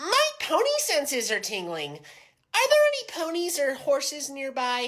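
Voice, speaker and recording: Put-on character voice, high-pitched, at a moderate pace. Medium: comedy sketch. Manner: exasperated, swearing.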